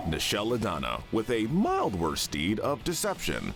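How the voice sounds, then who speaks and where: With music in the background, a man with a fairly low voice makes very wide pitch swings. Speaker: voice-over narrator. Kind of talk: YouTube commentary narration.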